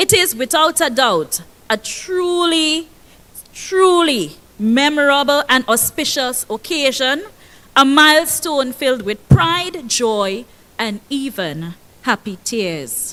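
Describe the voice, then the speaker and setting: A woman's high-pitched, raised, projected voice in a Tobagonian accent, bright and sharp in tone, with very wide pitch swings at a very slow pace. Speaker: school principal. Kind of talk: ceremony speech. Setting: stage with audience. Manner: loud; animated.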